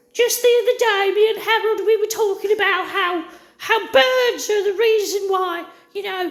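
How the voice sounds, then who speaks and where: In a put-on character voice, the speaker uses a grumpy tone at a moderate pace. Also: woman, extremely high pitch for a woman. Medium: solo performance. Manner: rambling, grumpy.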